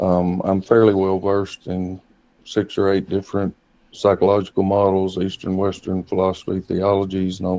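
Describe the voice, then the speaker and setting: A man with a Southern US accent speaks at a moderate pace in a very deep, low pitch. His tone is dark and mellow, his intonation flat and monotone. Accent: country Southern. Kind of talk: interview. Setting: video call.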